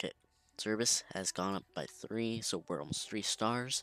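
A quiet man's voice, fairly low in pitch, with a bright, sharp tone, ordinary pitch variation, a moderate pace and a dry, close sound with no echo. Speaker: gaming video creator. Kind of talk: gameplay commentary. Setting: home recording late at night. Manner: quiet, held down so others can sleep.

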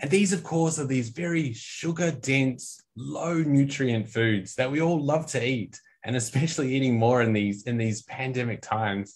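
A man with an Australian accent talks at a fairly quick pace, with hardly any pauses and ordinary pitch variation. His voice is somewhat breathy, and the background is quiet. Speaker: nutrition scientist; presenter. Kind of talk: product training lecture. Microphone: video call.

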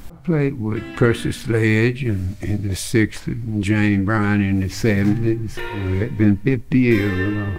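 With clear music in the background, a man speaks at a fairly slow pace in a fairly low pitch with ordinary pitch variation. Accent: Southern US. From Macon, Georgia, USA. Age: 70s. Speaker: blues musician. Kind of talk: interview answer. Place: studio.

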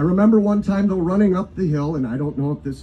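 A man with an American accent talks in a dark, mellow tone that is somewhat breathy. Light background noise can be heard. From Wisconsin, Johnson Creek; Wisconsin. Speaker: pastor. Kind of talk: invocation sermon. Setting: live event with audience. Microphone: pa.

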